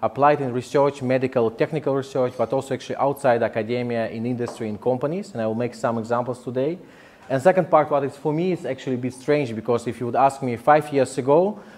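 A man races along at a very fast pace, his pitch varying in an ordinary way. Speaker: speaker. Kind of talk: lecture. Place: hall.

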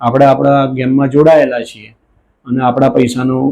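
A man's voice with a dark, mellow tone. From Gujarat, Mahisagar district (Lunawada). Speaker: alleged fraud victim. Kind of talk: testimony. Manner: halting.

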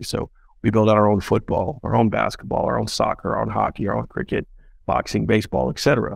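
Over a quiet background, a man talks at a fairly quick pace in a dry sound with no echo. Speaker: startup founder and CEO. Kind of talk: interview. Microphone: video call.

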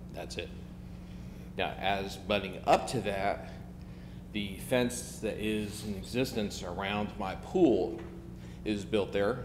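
Against noticeable background noise, a man speaks at a fairly low pitch with very wide pitch swings. His pace is very slow, with long, frequent pauses. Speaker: homeowner applicant. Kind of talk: public hearing testimony. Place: hall. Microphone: podium.

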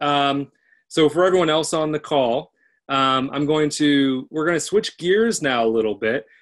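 The man keeps a moderate pace and ordinary pitch variation, with a quiet background. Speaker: event host. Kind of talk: webinar hosting talk. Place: home room. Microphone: webcam.

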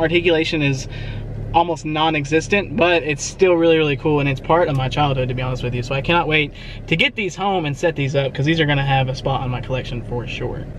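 This man talks at a very fast pace with ordinary pitch variation, in a dry sound with no echo and light background noise. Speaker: toy collector vlogger. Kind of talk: casual vlog chat. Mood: excited, enthusiastic. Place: car. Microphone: phone near.

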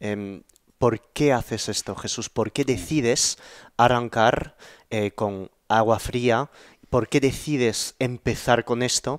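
Intonation stays fairly even at a very slow pace. The sound is dry with no echo, over a quiet background. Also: man. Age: 30s. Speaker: YouTube podcast host; podcast host. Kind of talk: interview conversation. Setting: in person at home. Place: home room. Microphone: headset.

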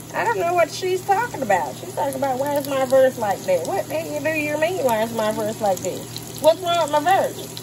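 A woman's high-pitched voice at a fairly quick pace, with very wide pitch swings, hardly any pauses and noticeable background noise. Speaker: home cook vlogger. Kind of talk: casual cooking tutorial. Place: kitchen. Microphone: phone near.

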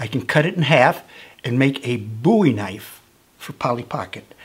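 The pitch swings very widely. The delivery keeps a moderate pace. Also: man. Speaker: whittling instructor. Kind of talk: tutorial. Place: studio.

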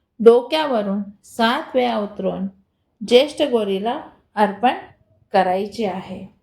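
Her intonation is lively and her pitch sits at a medium level. The woman speaks with a non-native accent. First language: not Marathi (speaking Marathi). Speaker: devotional YouTuber. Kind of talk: spiritual remedies tutorial.

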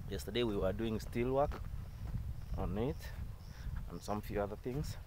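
Over light background noise, a man speaks in a dark, mellow tone with lively intonation, the sound dry with no echo. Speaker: home builder vlogger. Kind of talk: casual vlog chat. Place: open country. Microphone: phone near.

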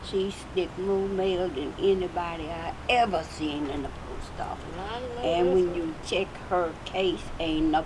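A woman's very slow speech with ordinary pitch variation against noticeable background noise. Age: 80s+. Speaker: retired postal worker. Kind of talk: casual reminiscing. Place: home room.

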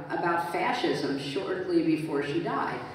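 Strong room echo and light background noise surround a woman whose pitch is fairly low. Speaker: guest. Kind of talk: interview answer. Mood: reflective storytelling. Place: stage.

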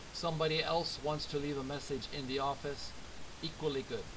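A man amid noticeable background noise. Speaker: English teacher. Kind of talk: lecture. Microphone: webcam.

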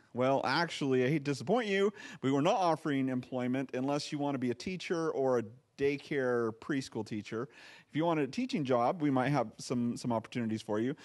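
The background is quiet as a man speaks. He talks at a fairly quick pace with ordinary pitch variation. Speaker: pastor. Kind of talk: sermon. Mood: light, joking. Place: church. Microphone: handheld.

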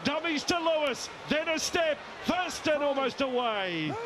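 Amid noticeable background noise, a man with an extremely high pitch sounds animated and excited. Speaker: rugby league commentator. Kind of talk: rapid-fire live play-by-play rugby commentary over match highlights. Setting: commentary box at stadium. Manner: clipped, staccato name-calling of each pass, rising to excited bursts at tries; animated, exclamatory praise of big plays. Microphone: headset.

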